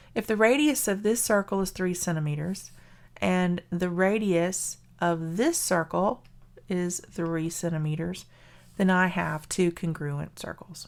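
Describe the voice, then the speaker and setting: A woman speaks in a Southern US accent, her voice fairly low. She talks at a fairly slow pace with ordinary pitch variation. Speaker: math teacher. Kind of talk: lecture.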